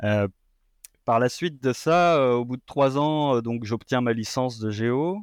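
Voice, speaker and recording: In a dry, close recording with a quiet background and no echo, a man speaks at a very slow pace with a medium pitch and ordinary pitch variation. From France. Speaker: postdoctoral researcher in environmental science. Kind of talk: interview. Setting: remote call. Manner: halting.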